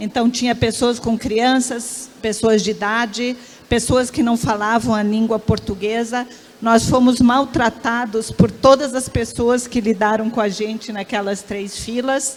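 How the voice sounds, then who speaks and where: A woman's flat, monotone delivery at a fairly slow pace over noticeable background noise. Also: fairly high pitch for a woman. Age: 60s. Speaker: professor and researcher. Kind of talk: panel discussion.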